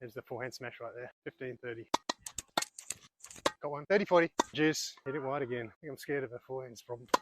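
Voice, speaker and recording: A man with an Australian accent, medium pitch, fairly even intonation and a very fast pace. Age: 60s. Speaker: amateur tennis player. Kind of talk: live commentary during a tennis match. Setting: outdoors.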